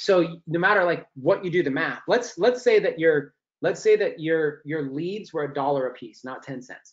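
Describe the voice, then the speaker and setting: A man is talking. His voice sits fairly high. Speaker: online marketing trainer. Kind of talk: webinar training presentation. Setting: live online webinar. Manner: fast.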